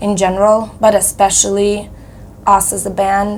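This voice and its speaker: A woman's medium-pitched voice at a fairly slow pace, with audible room echo. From Moldova. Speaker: metal band vocalist. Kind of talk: interview.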